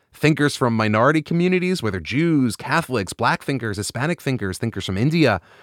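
On a very clean recording with a silent background and a dry, close sound with no echo, a man with a fairly high pitch talks at a fairly quick pace in an enthusiastic tone with very wide pitch swings. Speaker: rabbi and podcast host. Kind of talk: casual interview; scripted monologue.

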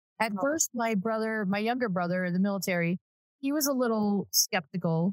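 A woman talks at a moderate pace in an ordinary speaking voice, her pitch medium and her intonation lively. The sound is dry and close, with no echo. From Southern California. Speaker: real estate agent. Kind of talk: casual chat.

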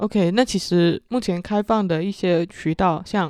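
With a Chaoshan accent, a woman speaks at a fairly slow pace in a fairly low pitch with ordinary pitch variation, the sound dry and close with no echo. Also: very clean recording, silent background. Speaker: podcast host, marketing professional. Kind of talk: casual chat.

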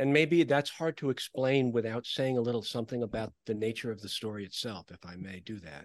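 A man with an American accent speaks at a fairly quick pace with hardly any pauses, using an unremarkable speaking voice at medium pitch. His lively intonation comes with big swings in loudness, recorded with a dry, close sound with no echo over a quiet background. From New York (New Rochelle). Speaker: author. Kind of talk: interview.

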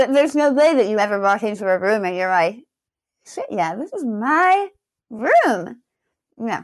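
Against a quiet background, a woman with a fairly high pitch speaks at a moderate pace, with very wide pitch swings and long, frequent pauses. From England. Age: young. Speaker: stylist. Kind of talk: casual chat. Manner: chatty.

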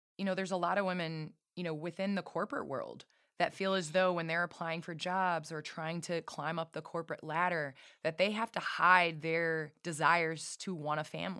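A woman's fairly low voice in a flat, monotone intonation at a moderate pace. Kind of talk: casual interview chat. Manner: warm, friendly.

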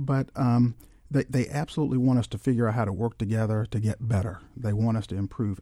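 Over a silent background in a very clean recording, a man speaks with a dark, mellow, somewhat breathy tone. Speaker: school superintendent. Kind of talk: radio interview. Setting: studio. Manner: formal.

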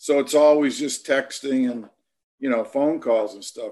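Speaking at a moderate pace, a man with an ordinary speaking voice uses ordinary pitch variation at a fairly high pitch. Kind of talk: casual interview.

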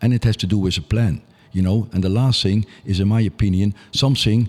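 A man with a Dutch accent speaks at a moderate pace and a fairly low pitch, with fairly even intonation, on a very clean recording with a silent background. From Netherlands, Nijmegen. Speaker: youth soccer coach. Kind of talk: interview.

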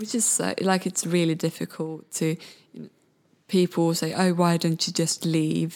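A woman with a Swedish accent, at a moderate pace, in a monotone, flat intonation. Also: fairly low pitch for a woman. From Sweden, Malmö. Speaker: photographer and podcast host. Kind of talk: interview. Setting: studio.

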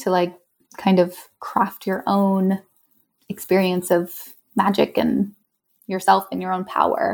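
A woman's speech with long, frequent pauses. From US West Coast (San Francisco Bay Area). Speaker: tarot reader and event founder. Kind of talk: casual interview. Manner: animated.

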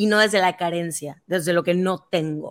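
This woman has a normal speaking voice, pitched at a medium level and delivered at a moderate pace. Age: 30s. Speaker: writer and activist. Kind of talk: casual chat.

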